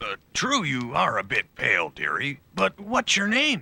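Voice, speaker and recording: A put-on character voice from a man, at a moderate speed. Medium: voice reel.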